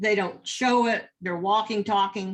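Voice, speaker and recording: A woman's voice at a fairly slow pace. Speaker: addiction professional and adjunct professor. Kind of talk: lecture. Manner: halting.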